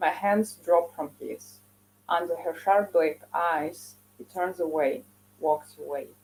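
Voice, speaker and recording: The speech comes at a fairly slow pace. It carries a Russian accent. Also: woman. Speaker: poet. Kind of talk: poetry reading.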